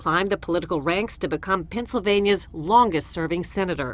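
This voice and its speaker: A woman with a normal speaking voice talks at a fairly quick pace. Her pitch is medium and her intonation lively. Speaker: television news correspondent. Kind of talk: news report voiceover.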